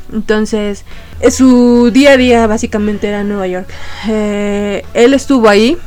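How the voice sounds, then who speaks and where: A woman's voice with fairly even intonation over music in the background. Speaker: podcast host. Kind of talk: casual chat.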